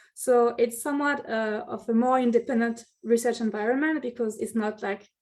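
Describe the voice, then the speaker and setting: A woman speaks in a French accent with ordinary pitch variation. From France. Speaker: city energy planner. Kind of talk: presentation. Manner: halting.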